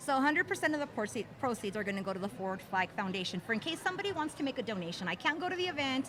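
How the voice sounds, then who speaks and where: Over noticeable background noise, a woman with a high pitch talks at a very fast pace with very wide pitch swings and hardly any pauses. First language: Spanish. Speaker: livestream co-host. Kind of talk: interview.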